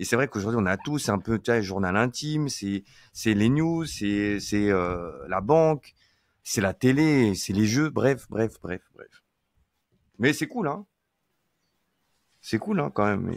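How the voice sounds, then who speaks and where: A man at a medium pitch and a very slow pace, with long, frequent pauses, in a dry, close sound with no echo and a very clean recording with a silent background. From France, rural Deux-Sèvres. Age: 40s. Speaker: iOS software engineer. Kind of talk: casual interview chat. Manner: hesitant, many fillers and repetitions.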